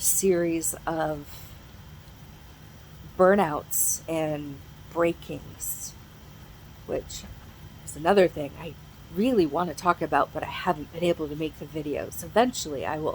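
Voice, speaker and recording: A woman talks at a fairly slow pace with long, frequent pauses. Noticeable background noise is present. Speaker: mental health vlogger. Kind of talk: casual chat. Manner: halting.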